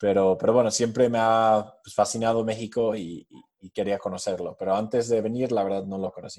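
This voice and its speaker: A man with an English accent speaks at a fairly low pitch with fairly even intonation and a dark, mellow tone. The background is quiet. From US, New Jersey near New York. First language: English (speaking Spanish). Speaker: fintech startup co-founder. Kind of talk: interview.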